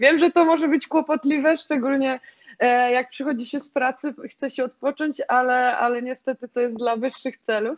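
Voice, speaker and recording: Over a quiet background, a woman with a high pitch talks at a moderate pace with fairly even intonation. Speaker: guest. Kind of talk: interview answer. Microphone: video call.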